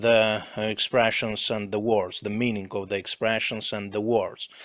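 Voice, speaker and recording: This man speaks with a non-native accent. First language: not English. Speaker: English learner reading aloud. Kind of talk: reading aloud; casual chat. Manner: halting, many fillers.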